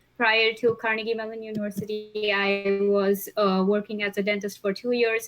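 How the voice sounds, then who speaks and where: A woman speaks at a medium pitch in a flat, monotone delivery. Music plays in the background. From India, Mumbai. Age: 20s. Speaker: patient panelist, graduate student, former dentist. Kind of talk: panel discussion.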